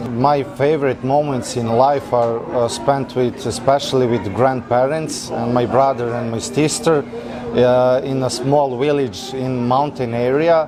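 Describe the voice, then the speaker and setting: Amid noticeable background noise and audible room echo, a man with a medium pitch speaks at a fairly slow pace with fairly even intonation. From Serbia, central (Trstenik). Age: 20s. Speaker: mechanical engineer. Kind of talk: interview. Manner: halting.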